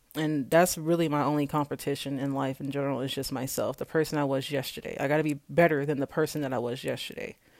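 Someone with an American accent talks at a very fast pace in a monotone, flat intonation. The recording is very clean, with a silent background. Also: woman, very deep, low pitch for a woman, hardly any pauses. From Kansas. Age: 20s. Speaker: podcaster. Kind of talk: casual monologue.

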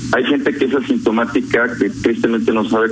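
A man talks in a room with audible echo, and noticeable background noise can be heard too. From León, Guanajuato, Mexico. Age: 50s. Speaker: COVID-19 survivor. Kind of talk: radio phone interview.

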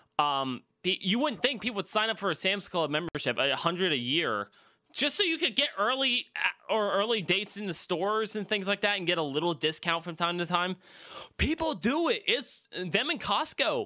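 Raising and projecting his voice, a man with a high pitch and a bright, sharp tone swings very widely in pitch. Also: moderate pace, very clean recording, silent background. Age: 20s. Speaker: podcast host. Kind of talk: casual chat.

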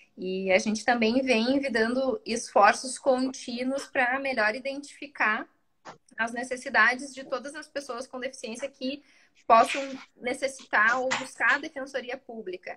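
Speaking at a fairly slow pace, a woman with a high pitch and a bright, sharp tone keeps a fairly even intonation while her loudness swings a lot. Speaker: public defender. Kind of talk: live interview. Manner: hesitant.

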